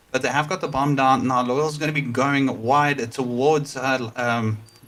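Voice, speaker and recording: Intonation stays fairly even as a man speaks at a moderate pace. His pitch sits in the middle range. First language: not English. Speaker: esports caster. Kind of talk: live commentary.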